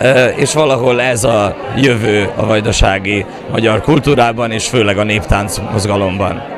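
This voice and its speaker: Crowd noise and audible room echo surround a man's medium-pitched voice. He talks fairly slowly with fairly even intonation. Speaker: folk dance teacher and choreographer. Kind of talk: interview. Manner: halting, many fillers.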